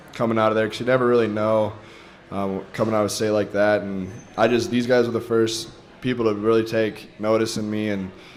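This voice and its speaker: In a room with audible echo and noticeable background noise, a man speaks at a very fast pace in a fairly low pitch. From North Dakota (Fargo). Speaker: college football player. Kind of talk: radio interview.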